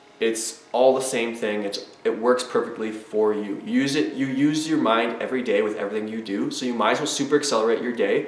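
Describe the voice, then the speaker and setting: Fairly quick speech from a man at medium pitch, with hardly any pauses, audible room echo and noticeable background noise. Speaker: self-help vlogger. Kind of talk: motivational monologue. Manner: fast; animated.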